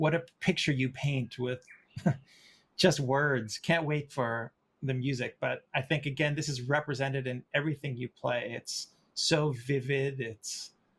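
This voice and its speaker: This man's voice sits fairly high in pitch, moving at a fairly slow pace with fairly even intonation. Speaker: orchestra percussionist and interview host. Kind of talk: interview. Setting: video call. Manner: halting.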